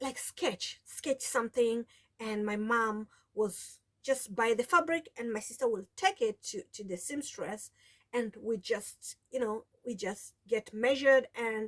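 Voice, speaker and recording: A woman with a Kenyan accent speaks slowly-ish, at a fairly slow pace, with a high pitch and ordinary pitch variation. Her loudness swings widely, and the sound is dry and close with no echo. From Kenya, coast (Mombasa, Taita). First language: Taita (mother tongue), also Swahili. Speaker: sewing vlogger. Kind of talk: casual vlog talk. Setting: home sewing room. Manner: halting, many restarts.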